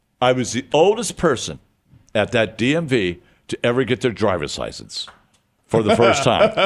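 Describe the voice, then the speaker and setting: Speaking at a moderate pace with an American accent, a man uses an animated tone, very wide pitch swings and vocal fry, all in a very clean recording with a silent background. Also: long, frequent pauses. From US Midwest (Detroit). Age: 70s. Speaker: recovering addict and community radio show host. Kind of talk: podcast interview, casual storytelling.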